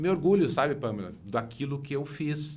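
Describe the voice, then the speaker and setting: The speaker is a man. His voice carries an audible echo from the room. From Rio Grande do Sul, Missões region. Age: 60s. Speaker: engineer and former city councillor. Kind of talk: interview. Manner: halting, many repetitions and fillers.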